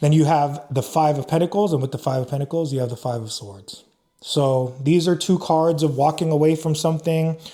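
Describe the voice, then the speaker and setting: Against a very clean recording with a silent background, a man with a fairly high pitch speaks in a somewhat breathy, dark, mellow tone with ordinary pitch variation. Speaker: tarot reader. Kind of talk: tarot reading. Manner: casual, filler-heavy.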